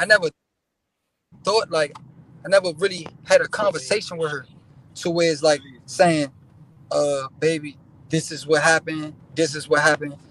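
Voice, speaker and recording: Intonation remains fairly even. The speech moves at a moderate pace. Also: man. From Washington DC. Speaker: rapper. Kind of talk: casual interview. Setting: in a car.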